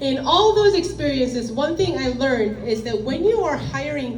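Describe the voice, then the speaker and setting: A woman's high pitch with very wide swings, along with audible room echo and noticeable background noise. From South Korea. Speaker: finance executive, speaker. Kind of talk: lecture.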